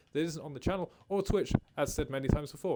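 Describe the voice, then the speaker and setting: The man speaks at a very fast pace. His pitch moves with ordinary variation. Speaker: gaming streamer. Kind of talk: live stream chat.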